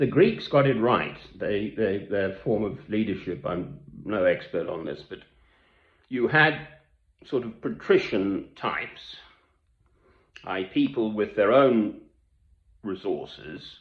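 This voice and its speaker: Here a man talks at a very slow pace. His long pauses come frequently. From Britain, English and Scottish family. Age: 60s. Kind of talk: monologue to camera.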